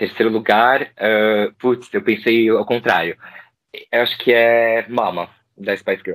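The man's voice sits at a medium pitch with fairly even intonation. He speaks very slowly. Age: 30s. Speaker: psychologist and music collector, fan guest. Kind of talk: casual chat.

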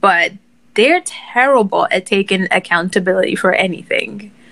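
With very wide pitch swings, vocal fry and a bright, sharp tone, a woman talks at a moderate pace. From Nigeria. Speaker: writer and podcaster. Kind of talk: casual chat. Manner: composed, podcast-like delivery.

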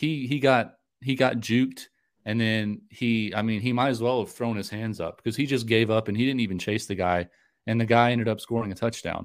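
This man talks at a fairly quick pace in an American accent, with an unremarkable speaking voice. The recording is very clean, with a silent background. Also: medium pitch for a man, fairly even intonation. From North Carolina. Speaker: sports podcast host. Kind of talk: casual chat.

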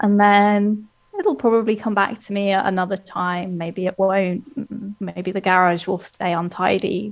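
A woman speaks at medium pitch and a fairly slow pace. Her intonation is monotone and flat. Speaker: ADHD coach. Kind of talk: casual interview conversation.

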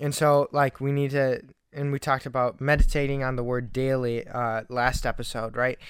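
A man talks at a moderate pace. His intonation stays flat and monotone. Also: medium pitch for a man. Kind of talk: casual chat. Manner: loud when arguing. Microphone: talks very close to the mic.

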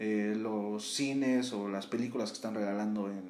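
Background noise is noticeable and room echo is audible. A man talks at a medium speed. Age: 20s. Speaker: podcast co-host. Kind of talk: casual chat.

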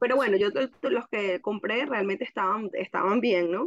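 Speaking at a fairly slow pace, a woman uses a plain, everyday voice at medium pitch with lively intonation. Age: 30s. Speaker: essential oils distributor. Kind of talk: casual chat.

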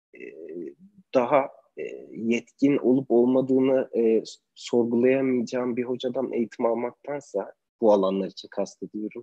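With a dry, close sound and no echo, a man speaks at a medium pitch in a dark, mellow tone. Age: 20s. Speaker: photographer. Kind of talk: online interview. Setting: video call.

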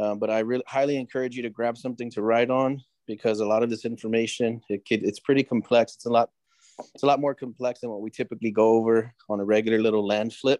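Flat, monotone speech comes at a very fast pace with a dry, close sound and no echo. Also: man, medium pitch for a man. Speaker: podcast host. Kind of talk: show introduction. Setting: video call.

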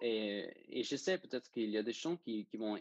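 The sound is dry and close, with no echo. A man is speaking. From Denmark. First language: Danish (speaking French). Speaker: student sailor. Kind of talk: interview. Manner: halting.

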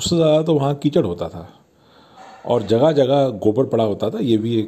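A man's dark, mellow tone with lively intonation. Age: 50s. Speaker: podcast host. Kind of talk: nostalgic monologue. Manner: casual, conversational.

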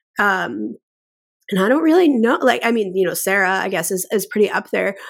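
Vocal fry marks this voice, which moves at a moderate pace with lively intonation. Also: woman. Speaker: entertainment lawyer. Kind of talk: casual chat.

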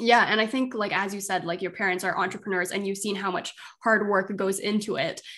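A woman speaks at a fairly quick pace in an unremarkable speaking voice, her medium pitch held to a fairly even intonation. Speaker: podcast host and business coach. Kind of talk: casual interview.

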